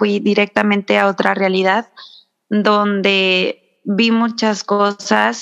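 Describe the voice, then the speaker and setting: This is a woman speaking. Her pace is very slow. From Mexico, San Luis Potosí. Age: 30s. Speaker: spiritual wellness guest. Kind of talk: casual interview chat.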